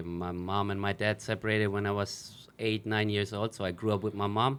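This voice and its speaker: A man's fairly low voice with a German accent, fairly even in intonation, at a fairly quick pace. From Germany. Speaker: professional footballer. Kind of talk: interview.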